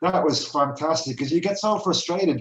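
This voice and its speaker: With an Irish accent, a man speaks at a moderate pace and uses ordinary pitch variation. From Ireland. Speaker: research project coordinator. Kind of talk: casual chat.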